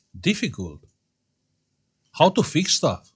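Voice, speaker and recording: The voice is somewhat breathy and moves at a fairly slow pace. The background is quiet. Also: man. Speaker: electronics repair youtuber. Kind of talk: casual chat.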